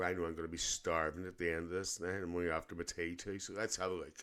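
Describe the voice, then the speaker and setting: With a Northern Irish accent, a man speaks at a very deep, low pitch. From Northern Ireland, Lisburn near Belfast. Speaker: reaction video host. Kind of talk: casual reaction commentary.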